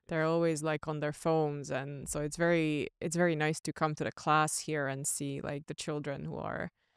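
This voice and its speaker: A woman talks with hardly any pauses in a very deep, low pitch and monotone, flat intonation. The sound is dry with no echo, and the background is quiet. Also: moderate pace. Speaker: podcast co-host. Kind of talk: interview. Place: gym. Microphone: studio mic.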